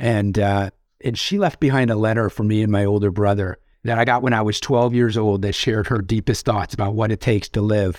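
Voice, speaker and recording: On a very clean recording with a silent background, a man with an unremarkable speaking voice talks at a fairly quick pace, fairly low in pitch, with fairly even intonation. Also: very even loudness. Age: 50s. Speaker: author and executive coach. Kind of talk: interview.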